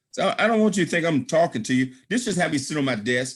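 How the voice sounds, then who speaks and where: A man speaks in an animated tone at a fairly high pitch, his intonation lively. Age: 60s. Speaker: business presenter, author. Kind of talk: sales pitch.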